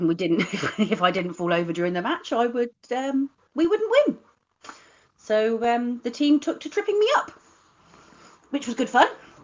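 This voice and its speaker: A woman with a Cornish accent speaks in a high pitch with very wide pitch swings. Her pauses are long and frequent. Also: moderate pace. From Cornwall, England (Bodmin). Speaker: live stream host. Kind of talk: casual chat.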